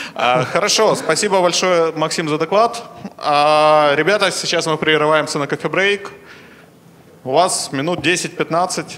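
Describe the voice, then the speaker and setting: Over light background noise, a man speaks at a fairly slow pace and fairly high pitch. His pitch variation is ordinary, and his pauses are long and frequent. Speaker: conference host / moderator; conference host, moderator. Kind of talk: conference moderating, announcements and Q&A. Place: hall. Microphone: handheld.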